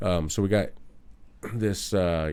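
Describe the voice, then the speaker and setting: A man's dark, mellow voice carries vocal fry and ordinary pitch variation. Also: very clean recording, silent background. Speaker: computer instructor. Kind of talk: tutorial. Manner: fast.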